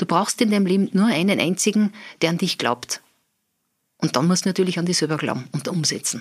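A woman speaks fairly quickly at a medium pitch with ordinary pitch variation. She leaves long, frequent pauses. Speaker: business owner. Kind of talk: interview.

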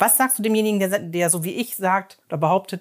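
In a very clean recording with a silent background, a woman talks at a moderate pace in a normal speaking voice of medium pitch. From Emsland, Germany. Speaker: podcast host. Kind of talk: interview. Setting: in a shop.

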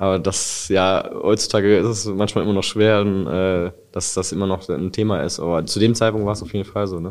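In a monotone, flat intonation, a man with a fairly low pitch talks at a fairly quick pace on a very clean recording with a silent background. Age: 30s. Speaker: near-death experience survivor. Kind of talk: testimony. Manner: halting.

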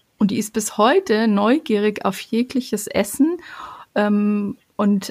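Somewhat breathy and medium in pitch, a woman speaks on a very clean recording with a silent background. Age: 40s. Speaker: family coach. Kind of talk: personal testimony. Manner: hesitant, many fillers.

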